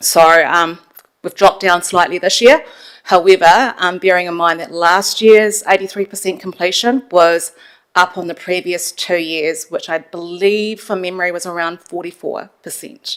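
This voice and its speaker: A woman's fairly low voice with big swings in loudness, a moderate pace and fairly even intonation. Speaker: council finance staff member. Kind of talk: council meeting briefing.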